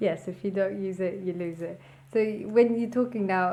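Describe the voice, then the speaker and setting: An ordinary speaking voice at a fairly quick pace. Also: woman. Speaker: leadership performance coach. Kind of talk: podcast interview questions.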